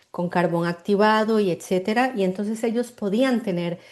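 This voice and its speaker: A woman with a Costa Rican accent and a dark, mellow tone. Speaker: marketing mentor and artisan cosmetics maker. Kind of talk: interview. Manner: halting, with repetitions and fillers.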